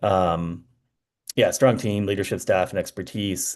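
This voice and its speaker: A man talks at a very fast pace in a dark, mellow tone against a quiet background. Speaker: consultant presenting strategic plan findings. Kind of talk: meeting presentation. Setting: committee meeting. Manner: hesitant, many fillers.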